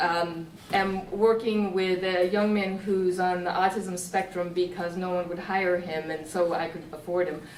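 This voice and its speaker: Amid noticeable background noise and audible room echo, a woman talks at a fairly slow pace in a medium pitch with monotone, flat intonation. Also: hardly any pauses. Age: 60s. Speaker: software developer in the audience. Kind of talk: audience discussion.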